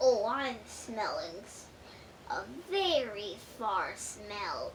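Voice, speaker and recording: A woman in a put-on character voice, gruff and growling, pitched fairly high and speaking very slowly over clear background noise. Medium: read story. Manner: sneering, bragging.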